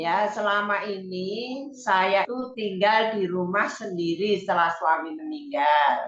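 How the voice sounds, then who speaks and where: A woman with a medium-pitched voice talks at a very slow pace, her intonation lively and her speech with hardly any pauses. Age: 70s. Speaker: participant asking question. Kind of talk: Q&A question in online seminar.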